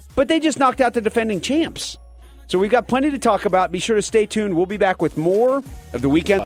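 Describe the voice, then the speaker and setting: Lively intonation at a very fast pace comes through a dry, close sound with no echo, with music in the background. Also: man, high pitch for a man. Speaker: sports radio host. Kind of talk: sports radio talk show.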